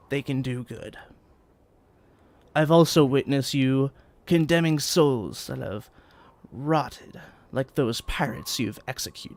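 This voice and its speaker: Using a put-on character voice at a medium pitch, a man speaks at a fairly slow pace with long, frequent pauses. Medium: actual play. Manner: slow, solemn.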